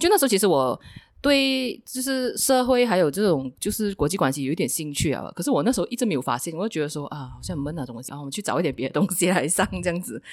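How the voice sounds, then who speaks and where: This woman's pitch is fairly low and swings very widely. She speaks at a very fast pace. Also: hardly any pauses, very clean recording, silent background. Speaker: former political reporter. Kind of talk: casual interview chat. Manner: laughs often while talking.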